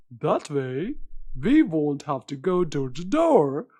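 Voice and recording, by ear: Over a quiet background, a man does a cartoonish character voice at a very slow pace.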